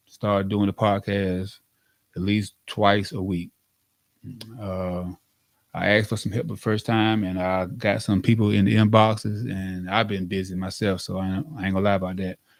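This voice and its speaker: This man talks at a fairly low pitch. His intonation stays fairly even. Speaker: podcast host. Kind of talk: casual monologue. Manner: fast.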